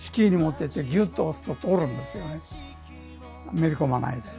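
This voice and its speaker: Clear music sounds in the background. Over it, a man talks. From Ehime, Japan. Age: 80s+. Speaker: tailor. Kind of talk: interview answer. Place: workshop. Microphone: lapel.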